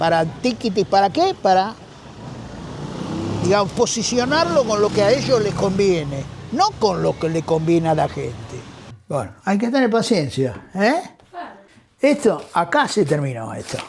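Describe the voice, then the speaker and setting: A man's high-pitched voice in a Rioplatense accent, fairly slow, with long, frequent pauses, very wide pitch swings and noticeable background noise. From Argentina. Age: 70s. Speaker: street musician, former theater actor. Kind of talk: interview answer.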